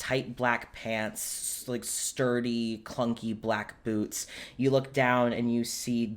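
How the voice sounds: What we hear is a natural reading voice.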